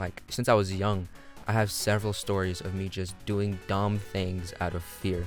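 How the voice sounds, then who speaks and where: Music plays behind a man with a fairly low voice. His intonation is monotone and flat. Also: moderate pace. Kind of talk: casual talk to camera.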